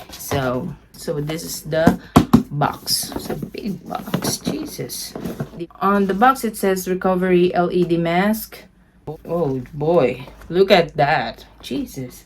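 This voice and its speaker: A woman's fairly low voice at a very slow pace, with lively intonation, over noticeable background noise. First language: Tagalog. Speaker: beauty vlogger. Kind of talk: product unboxing review. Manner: animated.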